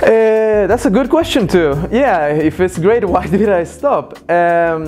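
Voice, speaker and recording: Speaking with a Spanish accent, a man talks at a very slow pace and a high pitch, with lively intonation and very even loudness. Music plays behind him. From Mexico, Cancun. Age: 20s. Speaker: former drug user. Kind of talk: interview testimony. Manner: hesitant, many fillers.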